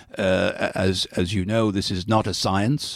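Speaking with a Dublin accent, a man uses a fairly low pitch and fairly even intonation. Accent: Irish, Dublin. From Ireland, Dublin. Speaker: diplomat. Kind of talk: interview. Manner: halting, many fillers.

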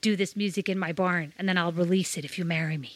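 Someone in a put-on character voice with an American accent talks at a very fast pace and a middle pitch. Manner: smarmy, mocking.

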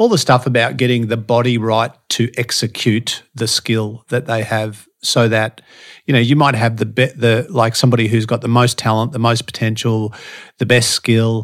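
A man of medium pitch with monotone, flat intonation at a moderate pace, on a very clean recording with a silent background. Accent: Australian. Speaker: podcast guest, motivational speaker and strength coach. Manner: casual, conversational, same voice everywhere.

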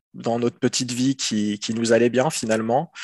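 Against a quiet background, a man talks at a moderate pace and medium pitch with monotone, flat intonation, the sound dry and close with no echo. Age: 30s. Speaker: father sharing experience of partner's depression. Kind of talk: testimony. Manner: halting.

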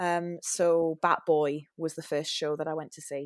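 A woman with a Geordie accent speaks at a fairly low pitch in a very clean recording with a silent background and a dry, close sound with no echo. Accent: Geordie (Newcastle). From northern England, Newcastle. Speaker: musical theatre performer. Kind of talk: casual interview chat. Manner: hesitant, with frequent fillers.

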